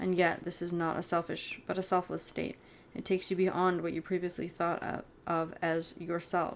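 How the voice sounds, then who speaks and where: Soft-spoken and at a moderate pace, a woman talks in a monotone, flat way. Her voice is fairly low in pitch. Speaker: ASMR reader. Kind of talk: audiobook reading of spiritual self-help.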